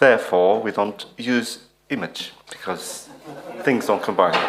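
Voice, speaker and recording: A man with a non-native accent, talking at a fairly slow pace. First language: not English. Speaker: conference speaker. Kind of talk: reading aloud a paper. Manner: reads from text.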